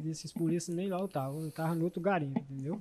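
There is light background noise. Over it, a man speaks with a high pitch. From Brazil, Maranhão (northeast). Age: 30s. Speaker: defendant, former gold miner. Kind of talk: courtroom testimony. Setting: courtroom with microphone. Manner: soft-spoken. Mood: defensive, denying accusation. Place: hall. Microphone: handheld.

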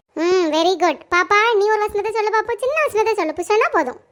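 A cartoonish character voice from a woman, extremely high and squeaky, with lively intonation, very even loudness, and a moderate pace. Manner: warm, patient.

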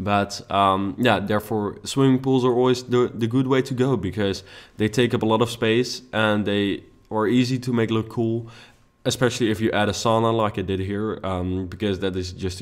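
A man with a Dutch accent talks at a moderate pace and fairly low pitch, with fairly even intonation. The recording is very clean, with a silent background. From Netherlands. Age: young. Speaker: YouTube gaming creator. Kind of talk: gameplay commentary. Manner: casual with many fillers.

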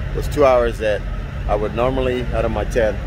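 Here a man is recorded with a dry sound and no echo. Noticeable background noise is present. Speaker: truck driver vlogger. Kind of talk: casual vlog chat. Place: street. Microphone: phone near.

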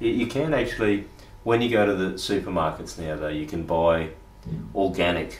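With a very deep, low pitch, a man speaks at a moderate pace and with lively intonation amid audible room echo. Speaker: interviewer. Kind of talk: casual conversation. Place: home room.

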